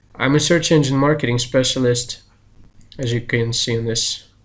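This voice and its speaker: This man talks with a Russian accent at a moderate pace. His pitch is medium. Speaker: search engine marketing specialist and software developer. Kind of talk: channel introduction.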